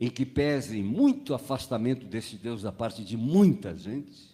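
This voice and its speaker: A dark, mellow tone from a man at a medium pitch. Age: 80s+. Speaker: pastor. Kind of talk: sermon.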